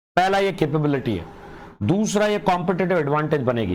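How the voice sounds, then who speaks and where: There is audible room echo. A man speaks with lively intonation. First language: Punjabi (speaking Hindi). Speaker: online exam-prep teacher. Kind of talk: live online lecture. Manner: animated.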